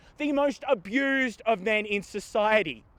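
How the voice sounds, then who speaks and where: A man with an Australian accent speaks in a high pitch with ordinary pitch variation against a quiet background. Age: 40s. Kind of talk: prepared speech.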